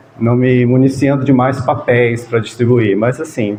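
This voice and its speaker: Noticeable background noise sits behind this man's voice. He has a medium pitch and speaks at a fairly slow pace. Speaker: spiritist group leader. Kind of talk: talk to a gathering. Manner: soft-spoken; halting.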